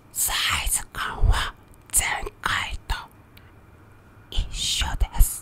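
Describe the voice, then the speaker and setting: A very slow, whispered delivery. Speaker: drag queen performer and channel host. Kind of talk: ASMR-style product introduction to camera. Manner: whispered, soft-spoken. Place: home room. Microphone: studio mic.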